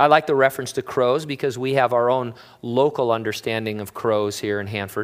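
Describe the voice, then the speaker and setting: A man with an American accent and an unremarkable speaking voice talks fairly quickly at a medium pitch with fairly even intonation. The recording is very clean, with a silent background. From Southern California. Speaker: pastor. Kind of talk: sermon.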